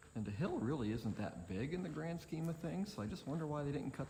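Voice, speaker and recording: This soft-spoken man talks at a very fast pace. His pitch swings very widely. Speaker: motorcycle travel vlogger. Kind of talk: casual vlog narration. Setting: outdoors at a tunnel.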